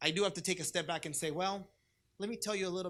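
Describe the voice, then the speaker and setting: Recorded very cleanly with a silent background, a man with a Spanish accent speaks with ordinary pitch variation. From US West Coast, Orange County, California. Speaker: diocesan youth ministry director. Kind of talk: conference talk.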